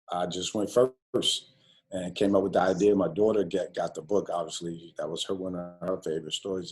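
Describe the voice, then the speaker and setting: A man talks in a monotone, flat intonation at a fairly low pitch and a moderate pace, with an American accent. Music plays in the background. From New York. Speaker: college basketball coach. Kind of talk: interview. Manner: halting.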